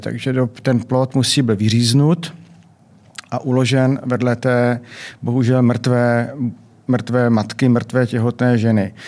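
A man's medium-pitched, monotone, flat delivery at a fairly slow pace. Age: 60s. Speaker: anesthesiologist and obstetrician. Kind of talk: interview. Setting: studio.

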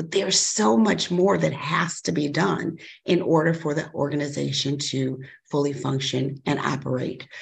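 A woman's very deep, low voice with vocal fry, an American accent, ordinary pitch variation, and a moderate pace. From Chicago. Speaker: school superintendent. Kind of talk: interview.

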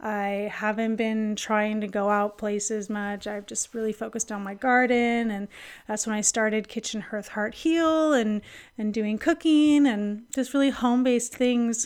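Very clean and set against a silent background, the recording captures a woman with a fairly high pitch and ordinary pitch variation speaking at a moderate pace in an unremarkable speaking voice. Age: 30s. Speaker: podcast host and women's health educator. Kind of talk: solo reflective monologue.

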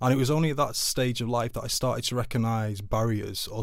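In a Mancunian accent, a man talks at a very fast pace at medium pitch with fairly even intonation. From Manchester, England (Altrincham). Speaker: charity chief executive. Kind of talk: interview.

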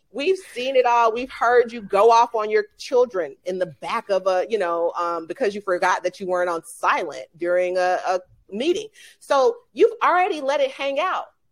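Very wide pitch swings mark a woman's fairly high voice with an American accent, on a very clean recording with a silent background. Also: moderate pace. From Atlanta, Georgia, US. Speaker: leadership coach. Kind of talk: interview.

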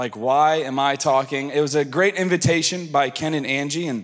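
A man in a plain, everyday voice with an American accent, ordinary pitch variation and a moderate pace, on a very clean recording with a silent background. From US South. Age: 30s. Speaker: pastor. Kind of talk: sermon.

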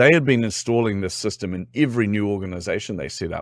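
In a New Zealand accent, a man speaks at a fairly low pitch with lively intonation, recorded very cleanly against a silent background. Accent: New Zealand (Kiwi). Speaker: team-building expert and business owner. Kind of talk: casual interview.

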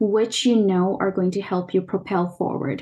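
A woman talks at a fairly slow pace in a dark, mellow tone that is somewhat breathy. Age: 30s. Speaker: spiritual consultant and meditation teacher. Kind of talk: casual interview chat.

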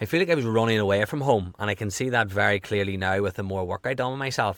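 A man speaks very fast in a strong Irish accent, his pitch fairly low. The recording is very clean with a silent background, and his pitch varies in an ordinary way. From Ireland. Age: 30s. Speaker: health coach and podcaster. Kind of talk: casual interview chat.

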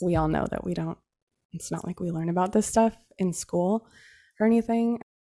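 Someone with a West Coast accent talks at a moderate pace in a very clean recording with a silent background and a dry, close sound with no echo. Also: woman. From Central Oregon. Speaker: accountant. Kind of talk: casual interview.

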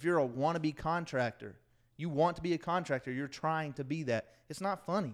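On a very clean recording with a silent background, a plain, everyday voice talks fairly quickly, its pitch moving in a normal way. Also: man, fairly high pitch for a man. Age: 20s. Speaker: podcast co-host. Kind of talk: casual chat.

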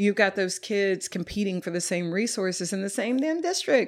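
A woman with an American accent has a normal speaking voice at a medium pitch, with lively intonation. The recording is very clean, with a silent background. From Texas, North Dallas. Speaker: yoga teacher and community space co-owner. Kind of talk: casual interview conversation. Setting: at her home, on location.

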